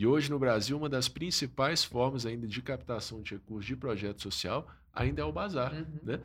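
A man's medium-pitched voice with vocal fry, lively intonation and a fairly quick pace, with hardly any pauses. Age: 30s. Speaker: pastor and social-enterprise founder. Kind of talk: casual chat.

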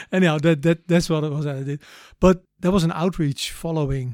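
A man with a Dutch accent and fairly high pitch, recorded very cleanly against a silent background, dry and close with no echo. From Netherlands, The Hague. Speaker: missionary. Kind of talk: interview testimony.

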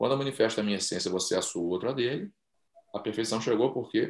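Words pour out of this man very fast. He uses lively intonation. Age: 50s. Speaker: podcast host. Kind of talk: casual interview.

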